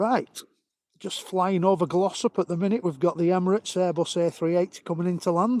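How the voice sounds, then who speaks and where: Speaking with a northern English accent, a man talks at a fairly quick pace in a high pitch with fairly even intonation, the sound dry and close with no echo. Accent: broad northern English. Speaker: planespotting live streamer. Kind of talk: live commentary. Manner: casual, chatty.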